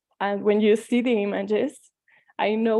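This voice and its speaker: This woman's voice has a dark, mellow tone. Her pitch is fairly high. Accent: Mexican. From Mexico. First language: Spanish. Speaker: tarot reader. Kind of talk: talk.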